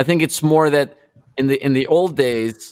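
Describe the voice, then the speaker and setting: At a fairly slow pace, a man speaks with ordinary pitch variation in a dry, close sound with no echo. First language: not English. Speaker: rock musician. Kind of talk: interview.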